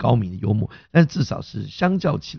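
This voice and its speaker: A man speaks at medium pitch with vocal fry. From Taiwan, Hakka background. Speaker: comedy and improv teacher, podcast host. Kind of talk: casual chat.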